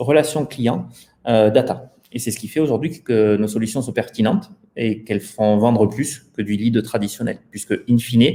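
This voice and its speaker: Medium in pitch, a man's dark, mellow voice moves at a moderate pace with ordinary pitch variation. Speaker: startup founder. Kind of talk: interview.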